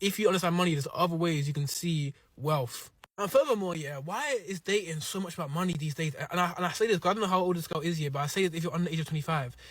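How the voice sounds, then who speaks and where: Over noticeable background noise, a man talks at a very fast pace in a high pitch with an animated tone and ordinary pitch variation. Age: 20s. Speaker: podcast host, entrepreneur. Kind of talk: casual chat on a date show. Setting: studio.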